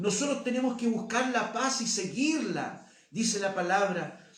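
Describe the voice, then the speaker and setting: A man speaks at an extremely high pitch and a fairly slow pace. The room echo is audible, and background noise is noticeable. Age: 60s. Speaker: pastor. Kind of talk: sermon.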